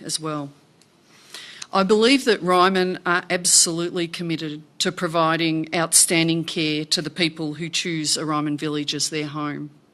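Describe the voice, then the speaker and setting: A woman with an Australian accent, a fairly low pitch and fairly even intonation. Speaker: company director. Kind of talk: formal speech. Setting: annual shareholder meeting.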